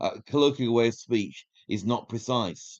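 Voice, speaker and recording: This man speaks in a Yorkshire accent. His pitch is medium, with ordinary pitch variation. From northern England, Yorkshire. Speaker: independent researcher. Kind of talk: podcast interview.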